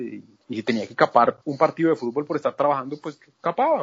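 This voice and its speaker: A man talks fairly quickly in a fairly high voice, and his pitch varies in an ordinary way. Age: 40s. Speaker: journalist. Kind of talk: interview. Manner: halting, frequent repetitions.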